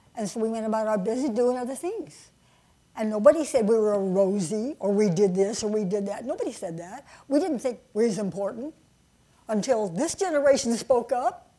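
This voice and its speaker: Speaking at a fairly quick pace, a woman with a dark, mellow tone and a fairly high pitch uses lively intonation and big swings in loudness. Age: 90s. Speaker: former wartime aircraft factory worker. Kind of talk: panel interview. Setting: stage with audience. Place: stage.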